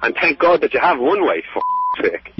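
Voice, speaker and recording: Noticeable noise sits behind the speaker, a man. The sound is dry and has no echo. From Ireland. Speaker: prank call target. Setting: phone. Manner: irritable, curt. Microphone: phone line.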